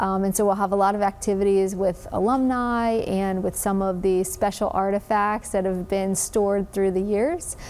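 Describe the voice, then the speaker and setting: Talking with an American accent at a moderate pace, a woman keeps monotone, flat intonation and very even loudness. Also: medium pitch for a woman, hardly any pauses. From New Jersey. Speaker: sports team executive. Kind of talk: interview. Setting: studio.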